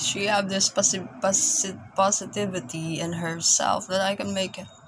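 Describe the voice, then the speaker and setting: A woman with a Filipino accent speaks at a medium pitch and a fairly slow pace. Her pitch varies in an ordinary way, with noticeable background noise behind her. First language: Tagalog. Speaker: vlogger, caregiver working abroad. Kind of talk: casual vlog monologue. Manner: halting, repeats words.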